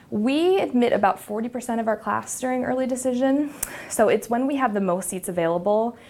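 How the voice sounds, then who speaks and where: Over noticeable background noise, a woman speaks at a fairly quick pace. Her pitch is fairly high, with ordinary variation. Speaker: college admissions officer. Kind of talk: informational presentation. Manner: fast; many filler words.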